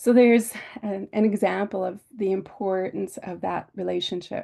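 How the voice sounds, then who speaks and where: A woman speaking at a fairly slow pace over a quiet background. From Canada, Saddle Lake Cree Nation, Alberta. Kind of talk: webinar presentation. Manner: halting, many fillers.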